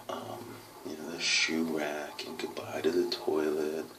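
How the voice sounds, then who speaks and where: A soft-spoken man talks at a fairly slow pace amid noticeable background noise and audible room echo. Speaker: adoptive parent video diarist. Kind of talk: video diary. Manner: hesitant, many fillers.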